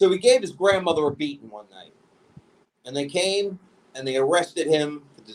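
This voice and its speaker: At a moderate pace, a man with a New York accent speaks in an animated tone at a fairly high pitch. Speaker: podcast host. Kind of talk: casual chat. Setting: remote recording from home.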